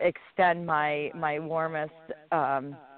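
Low-pitched and clear, a woman's voice has a smooth tone. Her intonation is fairly even.

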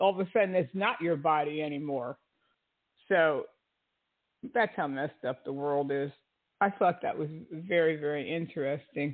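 Pausing long and often, a woman with a very deep, low pitch talks at a moderate pace with ordinary pitch variation. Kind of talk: casual commentary monologue. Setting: online radio broadcast with chat room.

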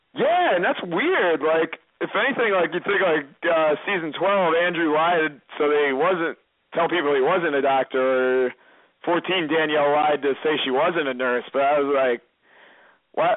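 In an unremarkable speaking voice, a man with an American accent and fairly high pitch talks at a fairly slow pace, with very even loudness and ordinary pitch variation. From Massachusetts. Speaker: reality TV contestant. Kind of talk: casual interview.

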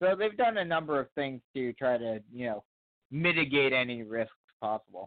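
A man in an American accent speaks at a moderate pace, using an ordinary speaking voice at a medium pitch. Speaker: sports broadcaster. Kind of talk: casual chat.

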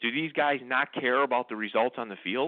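A man talks at a moderate pace in a medium pitch. He has an unremarkable speaking voice. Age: 60s. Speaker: sports radio co-host. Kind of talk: casual sports talk. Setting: internet radio show.

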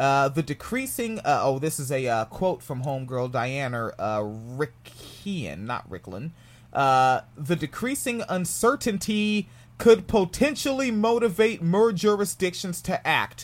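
With an American accent, a man speaks at a high pitch and a fairly slow pace. His pitch swings very widely. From US, New Jersey. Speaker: podcast host. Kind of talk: casual commentary on a news article. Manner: casual, profane.

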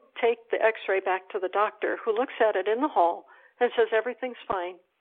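With an American accent, a woman with a fairly high pitch talks at a moderate pace and fairly even intonation in an ordinary speaking voice. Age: 60s. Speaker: expat. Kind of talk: casual interview.

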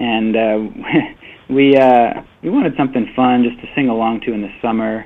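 With fairly even intonation and an unremarkable speaking voice, a man speaks at a moderate pace and a medium pitch. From Canada (Winnipeg, Manitoba). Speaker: country singer. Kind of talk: interview.

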